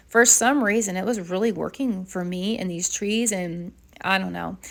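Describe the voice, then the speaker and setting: The recording is very clean with a silent background. A woman with an ordinary speaking voice talks at a moderate pace with ordinary pitch variation. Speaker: watercolor artist, art channel host. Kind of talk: casual tutorial voiceover. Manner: chatty, rambling with fillers.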